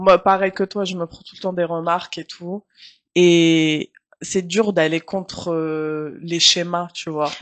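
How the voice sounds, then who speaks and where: Close and dry with no echo, a woman speaks at a very slow pace in a fairly low pitch. Her intonation is monotone and flat, yet her loudness swings widely. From Tunisia. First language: Arabic (speaking French). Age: 30s. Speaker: journalist. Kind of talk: casual interview.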